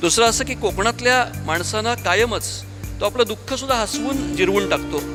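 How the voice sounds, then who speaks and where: Background music behind a male speaker. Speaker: doctor and author. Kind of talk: award acceptance speech.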